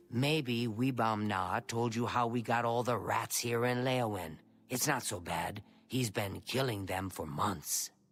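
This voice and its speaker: In a very clean recording with a silent background, a man speaks at a fairly slow pace in a put-on character voice. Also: medium pitch for a man. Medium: video game. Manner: chatty.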